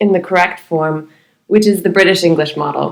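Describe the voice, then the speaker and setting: An ordinary speaking voice from a woman with an American accent, at a moderate pace and with ordinary pitch variation. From United States. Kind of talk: podcast discussion.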